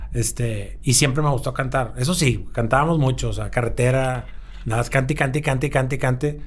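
Over audible room echo, a man with a medium pitch and vocal fry speaks at a fairly quick pace with fairly even intonation. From Monterrey, Mexico. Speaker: musician. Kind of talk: casual interview. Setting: record label office.

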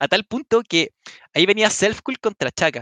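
A man with a Chilean accent talks at a moderate pace with lively intonation and a bright, sharp tone, recorded dry and close with no echo. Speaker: podcast host and tournament commentator. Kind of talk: casual chat.

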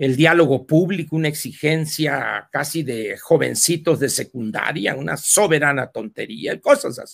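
Speaking at a fairly slow pace with hardly any pauses, a man uses a fairly high pitch with vocal fry and big swings in loudness. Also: ordinary pitch variation. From Mexico, Sonora. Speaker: political commentator. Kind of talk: casual chat. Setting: live video stream.

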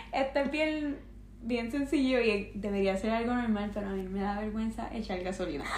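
Fairly high female voice at a moderate pace with hardly any pauses and ordinary pitch variation, over noticeable background noise. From Puerto Rico. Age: 20s. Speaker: nurse. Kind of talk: casual chat.

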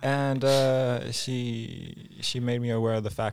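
A man has an ordinary speaking voice at a medium pitch with ordinary pitch variation. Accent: American. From California. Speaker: podcast co-host. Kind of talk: casual chat.

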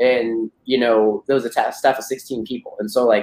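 A man's voice at medium pitch. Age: 30s. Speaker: agency owner and business coach. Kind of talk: interview. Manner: animated.

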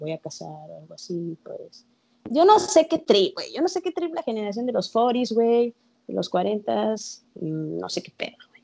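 With a Mexican accent, a woman talks at a fairly slow pace, her loudness swinging widely. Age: 20s. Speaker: podcast co-host. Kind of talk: casual chat.

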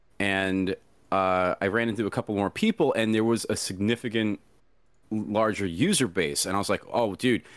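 A man's plain, everyday voice, fairly low in pitch with ordinary pitch variation, moderate pace and very even loudness, in a very clean recording with a silent background and a dry, close sound with no echo. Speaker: furry VR content creator. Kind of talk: casual interview chat.

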